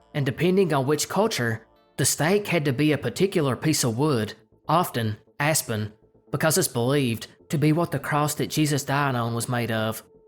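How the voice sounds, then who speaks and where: A man speaks at a moderate pace with a fairly high pitch and ordinary pitch variation. Music plays in the background. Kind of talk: folklore narration.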